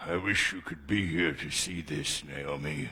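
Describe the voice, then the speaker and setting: Putting on a raspy character voice, a man speaks at a moderate pace with a very deep, low pitch and ordinary pitch variation. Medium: short film.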